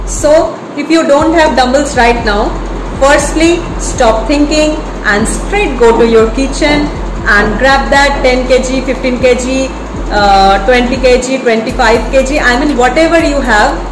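Over noticeable background noise, a woman talks at a fairly slow pace in a high pitch with ordinary pitch variation. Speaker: fitness vlogger. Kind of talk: casual vlog chat. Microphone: phone near.

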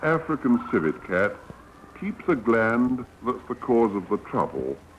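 A man talks at a fairly slow pace. Noticeable background noise can be heard behind him. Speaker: newsreel narrator. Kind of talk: documentary newsreel narration.

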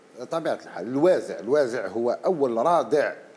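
The pace is moderate. A man's intonation rises and falls in a lively way. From Algeria. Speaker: panelist, former civil servant; panelist. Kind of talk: TV panel discussion. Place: studio. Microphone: lapel.

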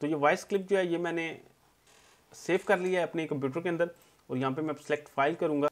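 A man speaks at a fairly quick pace with a high pitch for a man. His intonation stays fairly even, broken by long, frequent pauses. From Pakistan. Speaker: tech YouTuber. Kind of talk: tutorial. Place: home room.

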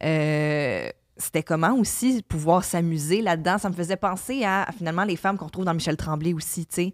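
At a moderate pace, a woman talks with a fairly low pitch and ordinary pitch variation in a dry, close sound with no echo, on a very clean recording with a silent background. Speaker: podcast co-host. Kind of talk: casual chat.

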